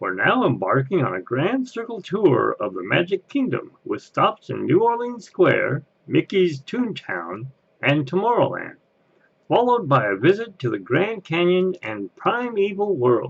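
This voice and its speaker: Someone uses a put-on character voice at a moderate pace. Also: man, high pitch for a man. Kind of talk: theme park train announcement. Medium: voice reel. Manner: folksy.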